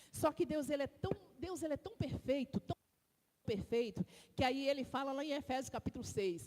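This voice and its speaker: With lively intonation and an animated tone, a woman talks in a high voice. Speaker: deaconess preaching in church. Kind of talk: sermon. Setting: church. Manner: slow, deliberate.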